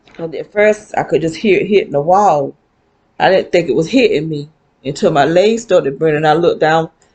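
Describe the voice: A woman speaks at a moderate pace in a low voice with a slightly mellow tone and ordinary pitch variation.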